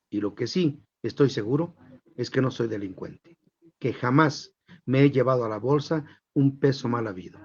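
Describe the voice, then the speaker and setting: A somewhat breathy male voice with ordinary pitch variation and long, frequent pauses. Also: medium pitch for a man, moderate pace. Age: 70s. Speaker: journalist and news anchor. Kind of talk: interview talk. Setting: live stream.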